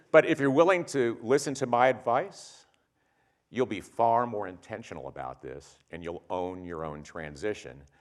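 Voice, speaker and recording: A man with an American accent speaks at a fairly slow pace with vocal fry. His pitch swings very widely. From US Midwest, Ohio (Springfield). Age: 60s. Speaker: company executive giving a talk. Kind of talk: keynote talk.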